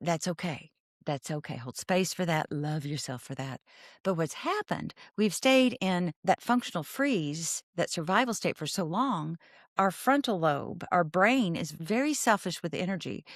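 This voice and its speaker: A woman with a Southern US accent and a fairly low pitch speaks at a moderate pace with very wide pitch swings, in a very clean recording with a silent background and a dry, close sound with no echo. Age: 60s. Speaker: therapist. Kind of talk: interview. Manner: animated.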